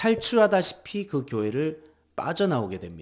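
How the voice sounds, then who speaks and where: Very wide pitch swings and a very slow pace from a man. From Seoul, South Korea. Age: 40s. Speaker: pastor and electrical construction worker. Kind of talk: personal vlog narration.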